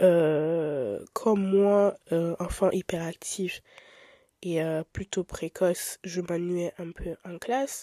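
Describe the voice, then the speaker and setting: A woman's dark, mellow voice at medium pitch, spoken very slowly with big swings in loudness, on a very clean recording with a silent background and a dry, close sound with no echo. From Italy. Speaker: podcaster. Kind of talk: casual monologue. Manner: animated.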